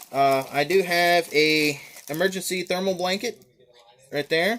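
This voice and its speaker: Over noticeable background noise, a man with a Southern US accent speaks at a high pitch. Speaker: gear reviewer. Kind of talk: show-and-tell gear tutorial. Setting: home, filmed by his daughter. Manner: fast; hesitant, many fillers.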